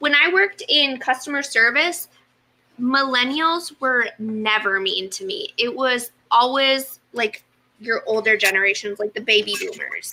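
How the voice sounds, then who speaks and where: Raised and projected, a woman's high voice moves at a fairly slow pace with lively intonation. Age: 20s. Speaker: sewing livestream co-host. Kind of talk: casual chat. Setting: livestream video.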